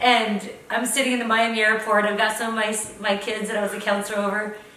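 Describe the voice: A woman's fast-paced speech, bright and sharp in tone with little pitch movement, in strong room echo. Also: medium pitch for a woman.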